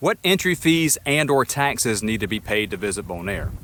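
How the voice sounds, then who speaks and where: Intonation rises and falls in a lively way, and the tone is bright and sharp. The speech comes with a Southern US accent. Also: man. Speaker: travel vlogger. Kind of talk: casual travel Q&A vlog.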